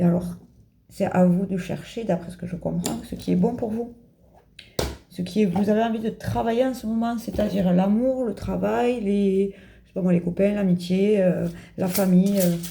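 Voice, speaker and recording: Long, frequent pauses break up a somewhat breathy voice with a dark, mellow tone. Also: woman, medium pitch for a woman, ordinary pitch variation. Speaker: tarot card reader. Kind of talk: card reading for viewers. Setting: home video, in pyjamas. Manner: fast.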